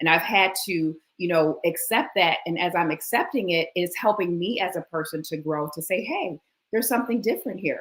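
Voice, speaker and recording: Here is a woman with a fairly low pitch and an American accent. She has a normal speaking voice. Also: ordinary pitch variation. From New York. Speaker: personality speaker and minister. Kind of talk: interview conversation.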